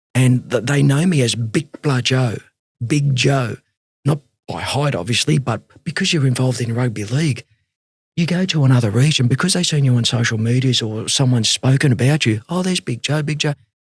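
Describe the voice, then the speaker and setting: A somewhat breathy man with an Australian accent talks at a fairly quick pace and medium pitch, with ordinary pitch variation and a dry, close sound with no echo. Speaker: rugby league coach and mentor. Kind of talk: interview conversation. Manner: fast; animated.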